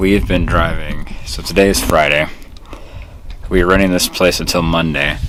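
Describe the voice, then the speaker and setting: A man's very deep, low voice, flat and monotone, at a moderate pace with long, frequent pauses, quiet, with audible room echo and noticeable background noise. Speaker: vlogger. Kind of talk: casual vlog. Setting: indoors at a vacation rental. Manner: quiet, hushed.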